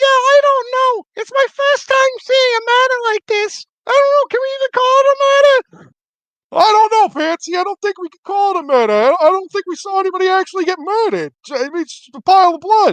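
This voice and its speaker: In a put-on character voice, a man squeaks at an extremely high pitch and a fairly quick pace. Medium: actual play. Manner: casual, slangy.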